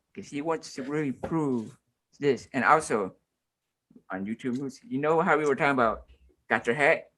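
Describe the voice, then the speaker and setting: A man is speaking. His pitch is fairly high. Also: very clean recording, silent background. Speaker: podcast co-host. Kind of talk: casual chat. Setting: live stream. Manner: fast.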